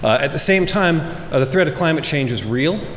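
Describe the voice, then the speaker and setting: With an American accent, a man talks at a fairly quick pace with ordinary pitch variation. Audible room echo and noticeable background noise are present. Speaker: government energy official and scientist. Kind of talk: conference keynote speech. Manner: fast; animated.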